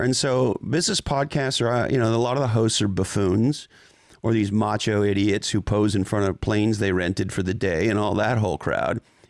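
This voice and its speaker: Speaking in an ordinary speaking voice, a man keeps a fairly low pitch, a moderate pace and very even loudness on a very clean recording with a silent background. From Montreal, Canada. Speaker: tech executive and business author. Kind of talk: interview conversation.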